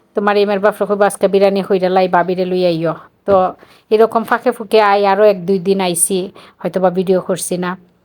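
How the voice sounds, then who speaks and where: Woman's voice at a medium pitch, with monotone, flat intonation. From Bangladesh, Sylhet (Chunarughat). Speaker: vlogger, mother. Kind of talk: casual vlog narration.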